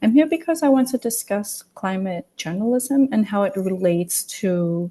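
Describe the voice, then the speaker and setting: A woman's somewhat breathy voice, dark, mellow tone, medium pitch, lively intonation and moderate pace, against a quiet background. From Samoa, island of Savai'i. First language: Samoan. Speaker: journalist. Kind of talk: webinar presentation.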